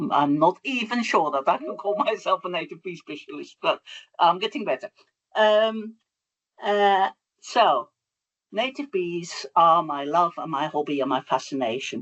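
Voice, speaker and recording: Speaking with a Dutch accent at a fairly slow pace, a woman pauses long and often, her fairly low pitch swinging very widely. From Netherlands. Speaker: bee researcher. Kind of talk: lecture.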